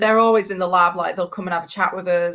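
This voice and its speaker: Speaking with a Yorkshire accent, a woman keeps a medium pitch and fairly even intonation. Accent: broad Yorkshire. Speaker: biomedical scientist. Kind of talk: podcast interview. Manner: toned down accent for podcast.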